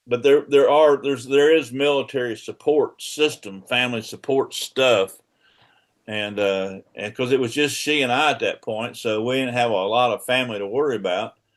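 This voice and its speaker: A man with a Southern US accent at a medium pitch, with ordinary pitch variation. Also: moderate pace. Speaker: father of the host, Army veteran. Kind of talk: casual interview about his life. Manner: halting, many restarts.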